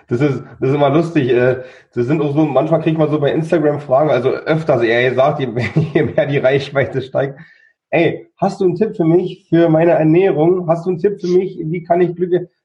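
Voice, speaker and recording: With a Berlin accent, a man speaks at a fairly high pitch and a moderate pace, his pitch varying in an ordinary way. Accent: Berlin-area dialect. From near Berlin, Germany. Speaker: coach and chronic illness survivor. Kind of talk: interview. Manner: halting, with many repeated words.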